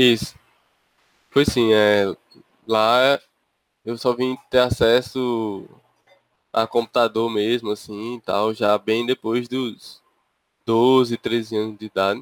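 A man talks at a very slow pace in a monotone, flat intonation. Long, frequent pauses break up his speech, and the sound is dry and close with no echo. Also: medium pitch for a man. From interior of Paraíba, Brazil. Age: 20s. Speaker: podcast co-host, software engineering master's student. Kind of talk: casual chat.

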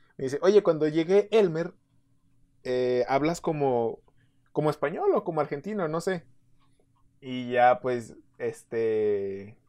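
With a Mexican accent, a man with a fairly high pitch and a dark, mellow tone speaks at a very slow pace with lively intonation and long, frequent pauses against a quiet background. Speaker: podcast co-host. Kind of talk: casual chat.

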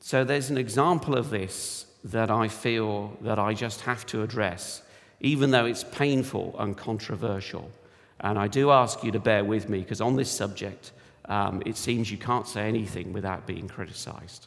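Speaking with a British accent, a man at medium pitch shows ordinary pitch variation, and audible room echo surrounds him. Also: moderate pace. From United Kingdom. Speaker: church elder, lay preacher. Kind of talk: sermon.

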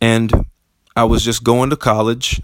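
An animated tone at a moderate pace, in an American accent. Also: man. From US South (Tuscaloosa, Alabama). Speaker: podcast host, motivational speaker, performer. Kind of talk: motivational monologue.

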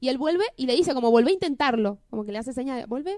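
Speaking at a very fast pace with lively intonation, a woman with a Buenos Aires accent uses a high pitch, the sound dry and close with no echo. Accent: Rioplatense Spanish (Buenos Aires). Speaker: podcast co-host. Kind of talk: casual chat.

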